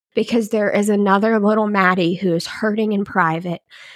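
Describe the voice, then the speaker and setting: A woman with an American accent speaks at a moderate pace, with a medium pitch, fairly even intonation and a normal speaking voice. The recording is very clean with a silent background, and the sound is dry and close with no echo. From Kentucky, US South. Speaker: former insurance agent, domestic violence survivor. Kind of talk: casual interview, personal testimony.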